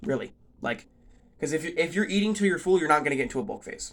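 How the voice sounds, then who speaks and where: The man talks. His pace is very fast. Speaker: fitness vlogger. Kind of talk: casual vlog talk. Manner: rambling, many fillers.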